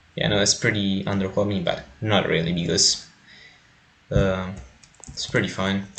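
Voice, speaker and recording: Amid audible room echo, a man with a non-native accent speaks in a fairly low pitch and a monotone, flat intonation at a moderate pace, with long, frequent pauses. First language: not English. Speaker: gaming video creator. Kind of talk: gameplay tutorial. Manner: hesitant, many fillers.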